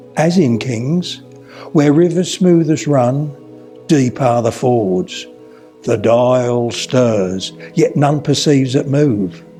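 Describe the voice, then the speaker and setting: Very slow speech from a man at medium pitch, with ordinary pitch variation and music in the background. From Suffolk, England. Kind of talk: poetry reading.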